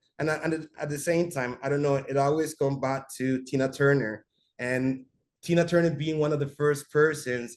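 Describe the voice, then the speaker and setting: A man speaks with a Spanish accent at a fairly high pitch. His intonation stays fairly even. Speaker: visual artist. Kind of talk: artist talk. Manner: halting.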